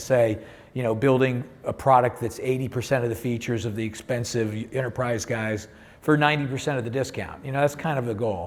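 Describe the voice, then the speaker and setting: A man's voice, showing ordinary pitch variation, carries audible room echo. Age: 60s. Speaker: tech company CEO and software founder. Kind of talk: panel discussion. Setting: stage with audience.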